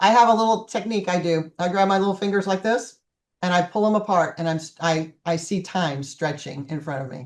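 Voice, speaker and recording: A woman's ordinary speaking voice at medium pitch, with ordinary pitch variation and a quiet background. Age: 60s. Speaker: life coach. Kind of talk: online group coaching class. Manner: casual, chatty.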